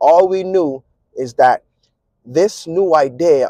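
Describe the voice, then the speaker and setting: In a Virgin Islands accent, a man with a high pitch is heard in a dry, close sound with no echo. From US Virgin Islands, Saint Thomas. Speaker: vlogger and musician. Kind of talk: casual vlog monologue. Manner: eats his words, mumbly.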